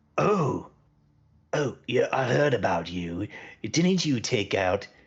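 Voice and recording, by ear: Fairly slow, put-on character voice full of very wide pitch swings. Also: man, medium pitch for a man.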